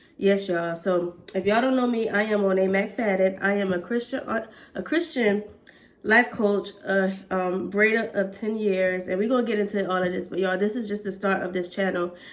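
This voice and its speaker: This woman has an ordinary speaking voice with ordinary pitch variation. Her pace is moderate. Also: medium pitch for a woman. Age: 20s. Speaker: hair braider and vlogger. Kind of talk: casual vlog talk.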